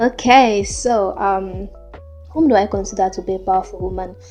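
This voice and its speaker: Music sits in the background while the voice moves at a fairly slow pace. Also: woman. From Sierra Leone. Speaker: podcaster. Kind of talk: solo podcast monologue.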